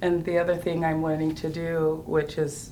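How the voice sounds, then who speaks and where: A woman's very deep, low voice at a moderate pace, with audible room echo. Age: 60s. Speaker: artist. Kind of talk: casual chat.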